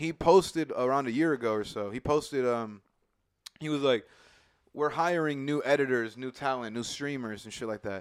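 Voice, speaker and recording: A man talks at a fairly quick pace in a fairly high pitch. It is a plain, everyday voice with ordinary pitch variation. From Indiana. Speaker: podcast co-host. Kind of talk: casual chat.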